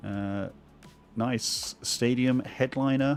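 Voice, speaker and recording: A man's voice with music in the background. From England. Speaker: Magic card game streamer. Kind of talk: casual live stream, pack opening. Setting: live stream.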